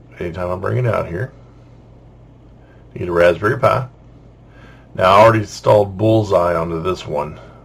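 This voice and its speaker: A man talks in a very deep, low voice that is somewhat breathy, with ordinary pitch variation. His pace is fairly quick, broken by long, frequent pauses. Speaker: software tutorial maker. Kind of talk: screen-recorded tech tutorial narration. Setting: separately recorded voiceover. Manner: casual.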